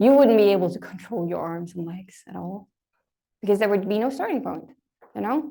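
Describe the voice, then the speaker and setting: This woman's voice has vocal fry. Her pitch varies in an ordinary way. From Denmark. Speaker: lecturer. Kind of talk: lecture. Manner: conversational, uses fillers.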